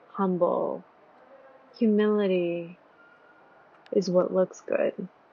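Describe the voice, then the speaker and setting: A woman with an American accent and a medium-pitched voice speaks at a very slow pace. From United States. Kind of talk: reflective vlog voiceover.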